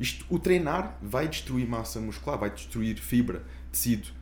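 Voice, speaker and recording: Vocal fry runs through the voice, and audible room echo surrounds it. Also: man. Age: 20s. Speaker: podcast host. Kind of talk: casual chat.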